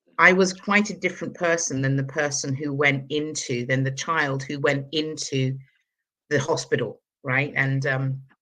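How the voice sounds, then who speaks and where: A woman with a southern English accent, a very deep, low pitch, a bright, sharp tone, ordinary pitch variation and a moderate pace against a quiet background. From London, England. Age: 60s. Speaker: energy healer. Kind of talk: interview.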